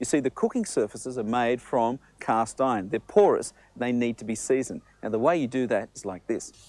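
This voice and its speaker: Upbeat and enthusiastic, a man with an Australian accent speaks at a fairly quick pace in a medium pitch. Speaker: TV chef. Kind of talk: promotional cooking demonstration. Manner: upbeat, enthusiastic.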